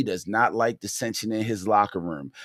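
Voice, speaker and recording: Speaking with a Baltimore accent, a man keeps a moderate pace. His intonation is lively. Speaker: sports podcast host. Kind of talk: casual livestream rant. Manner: conversational, hesitant with fillers.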